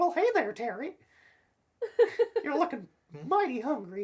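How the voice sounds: At a moderate pace, a high-pitched put-on character voice swings very widely in pitch.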